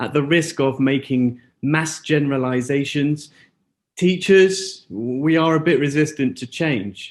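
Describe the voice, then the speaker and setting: This is an ordinary speaking voice with ordinary pitch variation. The background is quiet. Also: man, fairly high pitch for a man, fairly slow pace. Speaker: school educator presenting at seminar. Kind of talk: conference presentation. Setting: auditorium with live translator and zoom.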